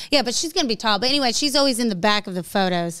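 With lively intonation and an animated tone, a woman speaks against a quiet background. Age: 30s. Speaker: podcast host. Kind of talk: casual chat. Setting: studio. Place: studio. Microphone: studio mic.

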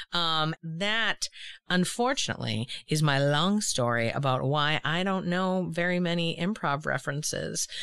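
Against a quiet background, a woman talks in an unremarkable speaking voice at a fairly low pitch. Her intonation is lively and her loudness very even. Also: fairly slow pace. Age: 40s. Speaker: podcast host. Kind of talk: casual interview chat.

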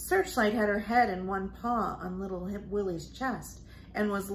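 The speaker reads aloud. The reading voice is unforced.

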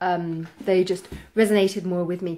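Ordinary pitch variation from a woman at a moderate pace. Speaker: book vlogger. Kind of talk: casual vlog chat. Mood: relaxed, expressive. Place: home room.

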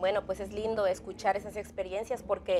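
Music plays in the background. A woman talks at a moderate pace and a medium pitch. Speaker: church TV interviewer. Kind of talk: religious interview. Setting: studio. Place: studio.

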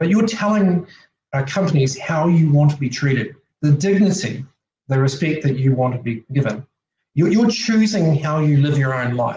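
A man with a fairly high, somewhat breathy voice and a dark, mellow tone speaks at a moderate pace with lively intonation, amid audible room echo and light background noise. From Australia or New Zealand. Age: 40s. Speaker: technology advisor and presenter; presenter. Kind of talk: online conference presentation. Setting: video call. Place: home room. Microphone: webcam.

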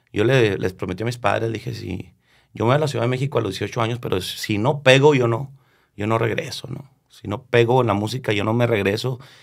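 A man with a northern Mexican accent speaks with fairly even intonation over a quiet background. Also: fairly quick pace. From northern Mexico, Chihuahua (Delicias area); Chihuahua, Mexico. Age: 30s. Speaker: regional Mexican singer; guest. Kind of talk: casual interview chat. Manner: halting, many repetitions and fillers. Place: studio. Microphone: studio mic.

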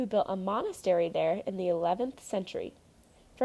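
The clip features a natural reading voice.

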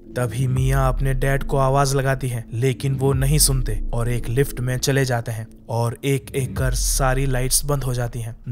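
Music plays in the background as a man speaks at a medium pitch with hardly any pauses. His intonation is monotone and flat. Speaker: movie explainer narrator. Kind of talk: horror movie recap narration, scary story told in Hindi.

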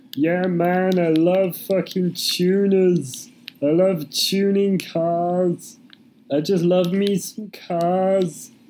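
Very slow delivery in a put-on character voice, pitched in the middle range. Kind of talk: laddish, casual. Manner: eager, boastful.

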